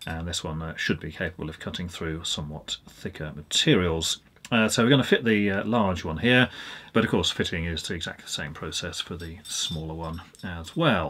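A man with a very deep, low pitch and a bright, sharp tone speaks at a moderate pace with ordinary pitch variation. His loudness swings widely, and light background noise is present. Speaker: presenter. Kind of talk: tutorial. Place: workshop.

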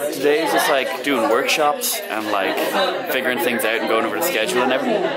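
Very fast-talking man with crowd noise in the background. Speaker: vlogger. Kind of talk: casual vlog chat.

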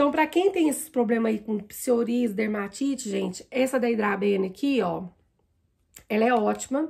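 This woman talks at a moderate pace in a normal speaking voice that sits fairly high in pitch. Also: lively intonation. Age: 40s. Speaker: makeup vlogger. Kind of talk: makeup tutorial. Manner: casual, chatty.

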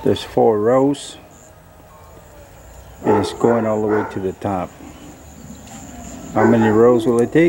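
Speech comes at a very slow pace. Background noise is noticeable. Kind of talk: casual vlog chat. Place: garden. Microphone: phone near.

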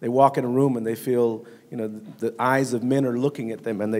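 At a fairly quick pace, a man with an American accent talks at a medium pitch. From US, Compton, Los Angeles; US. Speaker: community violence prevention expert; guest. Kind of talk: panel discussion. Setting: stage with audience. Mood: earnest, reflective. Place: stage. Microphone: handheld.

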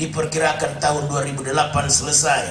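A man's voice against noticeable background noise. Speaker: preacher. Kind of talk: sermon. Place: hall.

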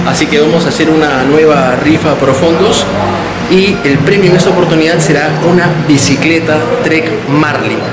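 Music plays behind a man as he talks. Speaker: cycling vlogger. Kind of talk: casual vlog chat. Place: shop. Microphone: phone near.

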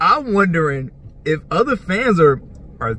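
The recording has a dry sound with no echo and light background noise. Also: man. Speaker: sports fan vlogger. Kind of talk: casual vlog chat. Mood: amused, incredulous. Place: car. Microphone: phone near.

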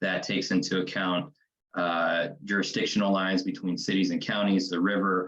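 This man speaks at a moderate pace with a Midwestern American accent. His very deep, low pitch stays on fairly even intonation and very even loudness. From Kansas City, Missouri (east side). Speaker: city council candidate. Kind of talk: candidate forum answer.

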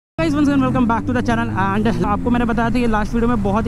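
Dry, echo-free sound under loud background noise. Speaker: motovlogger. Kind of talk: casual vlog chat. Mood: cheerful, laughing. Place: motorbike. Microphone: helmet.

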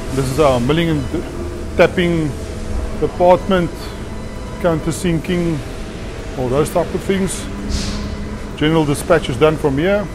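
The speech moves at a fairly slow pace with long, frequent pauses. Music plays in the background. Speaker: factory tour guide. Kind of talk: casual tour commentary. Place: factory. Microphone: phone near.

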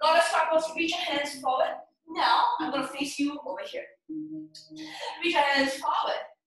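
With audible room echo, a woman speaks at a high pitch and moderate pace, with ordinary pitch variation. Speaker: yoga instructor. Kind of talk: guided yoga class instruction. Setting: home studio, live online class on Zoom. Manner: playful, upbeat, bursts of laughter. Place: home room. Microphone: camera far.

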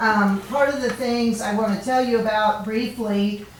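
A woman's fairly high, monotone voice with flat intonation at a moderate pace, amid noticeable background noise and audible room echo. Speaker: state representative. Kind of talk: public address at city council meeting. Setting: council meeting room. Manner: loud.

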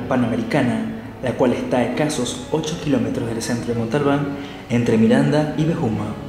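At a moderate pace, a man speaks amid audible room echo and light background noise. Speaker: radio announcer. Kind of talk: radio documentary narration. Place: studio.

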